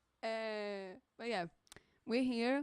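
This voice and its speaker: A woman with a Portuguese accent speaks with ordinary pitch variation over a quiet background, the sound dry with no echo. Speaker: streamer drawing live commissions. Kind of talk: casual live stream chat. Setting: friend's home studio, live stream. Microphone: mic very close, bumping mouth; studio mic.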